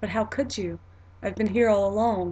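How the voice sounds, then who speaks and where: In a put-on character voice, a woman speaks softly and breathily at medium pitch, with flat, monotone intonation and a moderate pace. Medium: read story. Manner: gentle, warm, softly amused.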